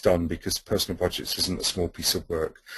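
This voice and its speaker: At a fairly quick pace, a man speaks in a somewhat breathy voice with monotone, flat intonation. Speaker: webinar presenter on policy toolkit. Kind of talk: webinar presentation. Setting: webinar. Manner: fast.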